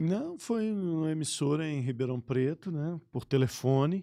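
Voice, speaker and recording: With lively intonation, a man talks in a dark, mellow tone. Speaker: sports radio broadcaster. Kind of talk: podcast interview answer. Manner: casual, conversational.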